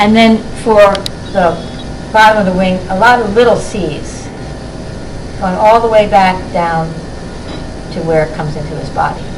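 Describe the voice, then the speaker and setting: A woman speaks at a moderate pace and medium pitch, with ordinary pitch variation, big swings in loudness and long, frequent pauses. Noticeable background noise and audible room echo are present. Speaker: children's book author and illustrator. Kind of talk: drawing tutorial. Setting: classroom with children.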